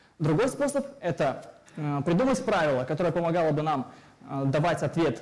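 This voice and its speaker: The voice is somewhat breathy and moves at a fairly quick pace. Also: man. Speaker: lecturer. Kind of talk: lecture. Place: hall.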